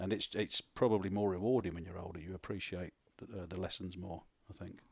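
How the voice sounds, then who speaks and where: A man speaks with a southern English accent. His pitch is very deep and low, his intonation monotone and flat. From South East London. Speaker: radio broadcaster and poet. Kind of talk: interview conversation.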